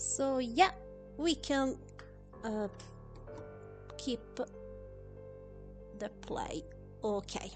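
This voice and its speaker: Over music in the background, a woman with a non-native accent talks at a very slow pace, with long, frequent pauses. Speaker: gameplay streamer. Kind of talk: casual live-stream talk to viewers. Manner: hesitant, many fillers.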